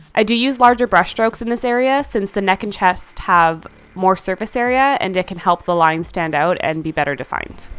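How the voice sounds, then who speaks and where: Music plays behind a woman speaking at a medium pitch with lively intonation. She talks at a fairly quick pace with hardly any pauses. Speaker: makeup artist. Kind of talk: makeup tutorial voice-over.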